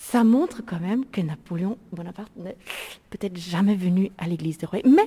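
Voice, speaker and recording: A woman speaks with a German accent at a fairly slow pace. Her intonation is lively. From Germany, Lake Constance. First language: German (speaking French). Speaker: tour guide. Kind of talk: guided tour. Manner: halting.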